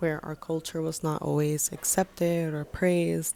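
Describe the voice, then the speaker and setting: At a moderate pace, a woman with a Spanish accent speaks in a very deep, low voice with monotone, flat intonation. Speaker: filmmaker and vlogger. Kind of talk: personal video essay.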